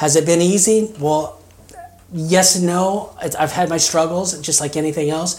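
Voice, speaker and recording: Over noticeable background noise, a high-pitched man with an American accent talks at a fairly slow pace with fairly even intonation. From Kansas. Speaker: mission resident. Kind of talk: interview testimony. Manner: halting, many fillers.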